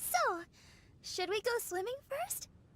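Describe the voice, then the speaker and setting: A woman puts on a squeaky character voice at an extremely high pitch. Her tone is bubbly and warm. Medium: video game. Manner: bubbly, warm.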